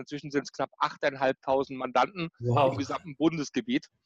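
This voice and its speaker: In a dry, close recording with no echo, a man with a normal speaking voice and fairly high pitch speaks at a moderate pace with fairly even intonation. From Germany, Baden (Karlsruhe). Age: 40s. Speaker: tax and business consultant. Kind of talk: interview.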